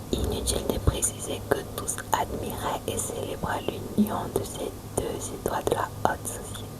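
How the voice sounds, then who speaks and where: Whispering at a fairly slow pace, with big swings in loudness and noticeable background noise. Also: woman. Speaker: ASMR reader. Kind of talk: narrated reading of a historical romance story. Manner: slow, calm.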